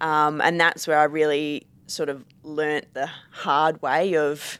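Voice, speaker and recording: A woman's very deep, low voice in an Australian accent. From Perth, Western Australia. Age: 20s. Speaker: Australian rules football player. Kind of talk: casual chat.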